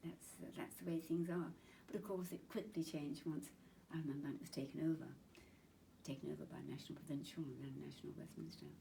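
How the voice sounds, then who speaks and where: A woman at a fairly quick pace, with a southern English accent. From Chingford, Essex, England. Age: 80s+. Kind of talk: interview answer.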